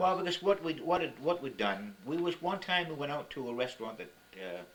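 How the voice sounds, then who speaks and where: The man's pitch swings very widely while noticeable background noise carries on around him. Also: fairly high pitch for a man, fairly quick pace. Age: 60s. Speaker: grandfather. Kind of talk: family interview, telling life stories. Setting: home camcorder recording. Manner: casual, reminiscing.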